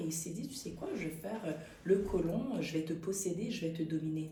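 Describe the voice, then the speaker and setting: A woman's fairly low voice at a fairly quick pace, with audible room echo and noticeable background noise. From Quebec (Montreal), Haitian family. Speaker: actress. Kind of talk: interview. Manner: animated.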